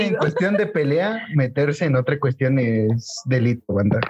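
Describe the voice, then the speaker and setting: A man's fairly high voice at a moderate pace, with very wide pitch swings, very even loudness and hardly any pauses. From Mexico City. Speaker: podcast co-host. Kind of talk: casual chat.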